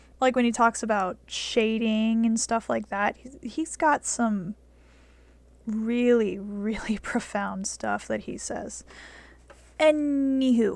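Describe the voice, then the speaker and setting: A soft-spoken woman with a fairly high pitch talks at a very slow pace, her loudness swinging widely. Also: ordinary pitch variation. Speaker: art tutorial youtuber. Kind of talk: tutorial. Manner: casual.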